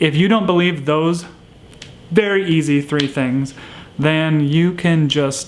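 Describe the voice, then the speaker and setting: The speaker talks at a fairly slow pace with an American accent over noticeable background noise. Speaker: houseplant YouTuber. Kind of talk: monologue to camera. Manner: stutters at times.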